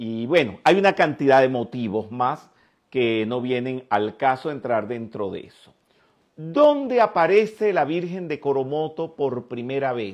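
A man with a Venezuelan accent talks at a fairly slow pace in a medium pitch, with lively intonation. His loudness swings widely. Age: 60s. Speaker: spiritual teacher. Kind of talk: lecture.

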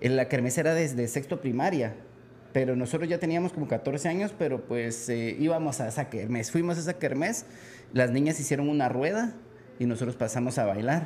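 A man speaks at a fairly quick pace with a Guatemalan accent. His pitch is fairly high, with ordinary variation. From Guatemala City. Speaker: musician. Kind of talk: casual interview.

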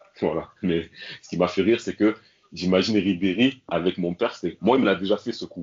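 Fairly even intonation accompanies speech delivered at a fairly quick pace. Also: man, very deep, low pitch for a man. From France, Marseille. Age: 40s. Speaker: son of a former football club president. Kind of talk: podcast interview.

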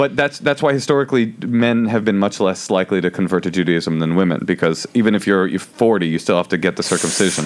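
Hardly pausing, a man with an American accent talks at a very fast pace and a fairly low pitch, keeping a very even loudness while his intonation stays lively. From Oakland, California. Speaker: comedian. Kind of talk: casual chat. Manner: fast talker.

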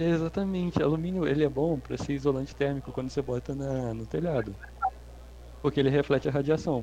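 Noticeable background noise sits under a man who speaks at a very fast pace. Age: 20s. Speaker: podcast guest. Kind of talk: casual chat.

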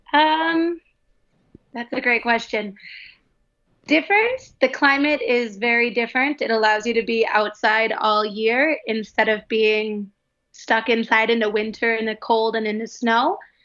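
A woman with an Upper Midwest accent, fairly high pitch, ordinary pitch variation and a fairly slow pace. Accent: Upper Midwest American. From US Midwest, Wisconsin and Minnesota. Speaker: primary school teacher. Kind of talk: casual chat.

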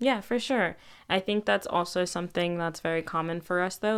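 A woman in a plain, everyday voice, with lively intonation at a moderate pace, on a very clean recording with a silent background. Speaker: student podcast host. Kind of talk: casual interview.

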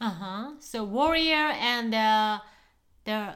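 Speaking very slowly in a Japanese accent, a woman has a high pitch and lively intonation. The recording is very clean, with a silent background. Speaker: co-host, wife. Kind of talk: casual chat. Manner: nervous, hesitant; soft-spoken.

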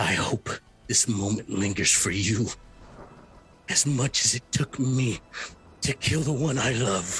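A put-on character voice snarls in a furious tone at a fairly slow pace. Long, frequent pauses break it up while clear music plays in the background. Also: man, medium pitch for a man. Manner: furious, venomous.

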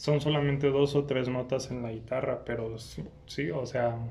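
A man with a normal speaking voice, medium pitch, and fairly even intonation. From Irapuato, Mexico. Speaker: podcast host. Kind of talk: casual interview. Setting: museum, in person.

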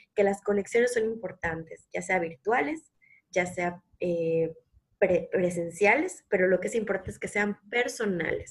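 A somewhat breathy voice moves at a fairly slow pace with ordinary pitch variation. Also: woman, medium pitch for a woman. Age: 30s. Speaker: nutritionist podcast co-host. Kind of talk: casual conversational podcast.

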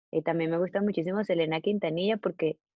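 A woman speaks in a fairly low voice. Her pitch varies in an ordinary way. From Venezuela. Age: 20s. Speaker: singer-songwriter. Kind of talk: casual interview. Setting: video call.

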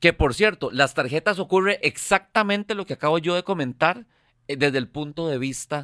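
A man's bright, sharp voice with very wide pitch swings at a moderate pace, dry and close with no echo, on a very clean recording with a silent background. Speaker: financial educator. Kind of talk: casual chat.

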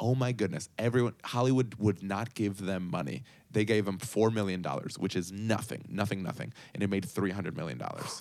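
A man speaks in a plain, everyday voice at a fairly low pitch. His pace is fairly quick, with ordinary pitch variation. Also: very clean recording, silent background. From Puerto Rico and Chicago, Colombian family. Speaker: startup co-founder and former TV performer. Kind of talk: interview.

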